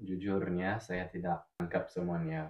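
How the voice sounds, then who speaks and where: The man's speech carries lively intonation. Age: 20s. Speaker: language teacher. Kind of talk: casual chat. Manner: halting.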